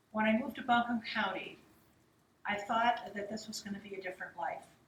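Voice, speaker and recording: Speaking at a fairly quick pace, a woman uses a normal speaking voice with fairly high pitch, fairly even intonation and big swings in loudness. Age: 60s. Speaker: political candidate. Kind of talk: campaign speech at candidate forum. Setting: public forum.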